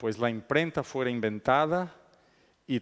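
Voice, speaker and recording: In a very clean recording with a silent background, a man with a non-native accent speaks at medium pitch and a fairly slow pace, with ordinary pitch variation. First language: not Spanish (speaking Spanish). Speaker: conference speaker. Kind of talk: lecture. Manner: halting, many fillers.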